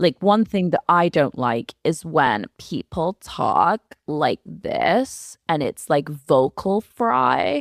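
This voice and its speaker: Someone does a put-on character voice at a middle pitch, creaky and very slow, with hardly any pauses. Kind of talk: casual, demonstrating an annoying speech habit.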